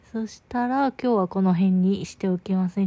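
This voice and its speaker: A woman talks at a moderate pace, her medium-pitched voice showing ordinary pitch variation. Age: 20s. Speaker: podcaster. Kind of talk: casual monologue. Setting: in bed. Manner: soft-spoken.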